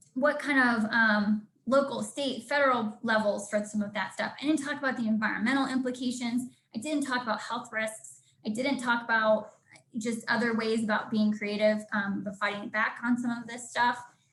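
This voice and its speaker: In an unremarkable speaking voice, a woman with a fairly high pitch talks at a moderate pace. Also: fairly even intonation. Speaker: environmental campaign organizer. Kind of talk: presentation. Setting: conference call.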